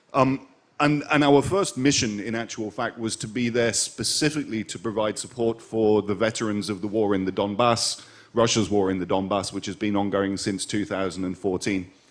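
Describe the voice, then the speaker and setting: Noticeable background noise surrounds a man's speech. He talks at a moderate pace with a fairly low pitch and ordinary pitch variation. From Ireland, schooled in the UK. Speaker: suicide prevention hotline founder. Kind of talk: panel interview. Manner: halting, many fillers.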